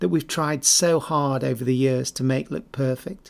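An English accent marks this man's fairly high voice at a moderate pace. His pitch varies in an ordinary way, and the recording is very clean with a silent background. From England. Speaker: podcast host, former cricketer. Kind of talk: scripted narration.

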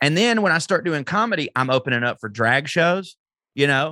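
In a Southern US accent, a man with a bright, sharp tone speaks at a fairly quick pace, the sound dry and close with no echo against a quiet background. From US South. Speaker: comedian. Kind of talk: casual chat.

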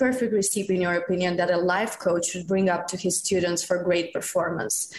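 Talking at a fairly quick pace, a woman of medium pitch speaks in a Romanian accent over noticeable background noise. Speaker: community manager, podcast team member asking a question.

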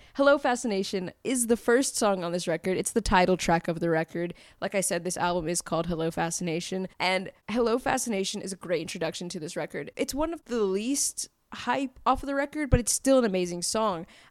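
A woman with an American accent, medium pitch and an animated tone, at a fairly quick pace with hardly any pauses, on a very clean recording with a silent background. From US South, Fayetteville, North Carolina. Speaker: podcast host, music reviewer. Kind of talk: casual music review monologue. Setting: home recording for podcast and YouTube.

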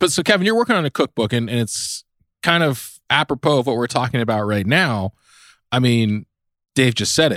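The man has an unremarkable speaking voice at medium pitch, with lively intonation at a fairly quick pace, recorded very cleanly over a silent background with a dry, close sound and no echo. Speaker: podcast co-host. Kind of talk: casual chat.

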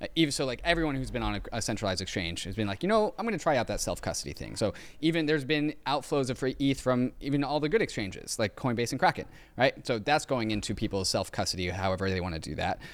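In a very clean recording with a silent background, a man talks at a very fast pace and a medium pitch, his pitch swinging very widely. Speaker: crypto podcast co-host. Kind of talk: casual chat.

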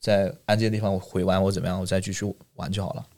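Talking at a very fast pace, a man with a fairly low pitch has a dark, mellow tone and fairly even intonation. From mainland China. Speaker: international retail channel sales manager. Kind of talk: casual interview chat. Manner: halting with frequent fillers and repetitions.

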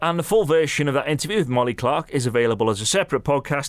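A man with a British accent talks at a very fast pace with lively intonation and a fairly high pitch, recorded very cleanly against a silent background. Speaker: beach soccer commentator and podcast host. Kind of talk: casual podcast chat.

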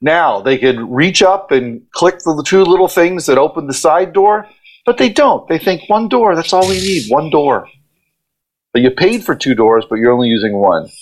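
A man at a moderate pace, his pitch swinging very widely. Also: fairly high pitch for a man. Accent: American. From Ohio, US Midwest. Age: middle-aged. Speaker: event company partner. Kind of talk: casual interview.

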